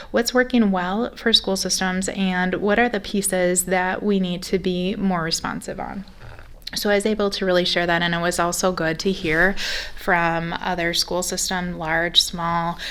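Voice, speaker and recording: In a Minnesotan accent, a woman speaks at a moderate pace with a medium pitch and fairly even intonation. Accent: very Minnesotan. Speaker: school superintendent. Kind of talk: board meeting report. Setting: school board meeting. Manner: many filler ums.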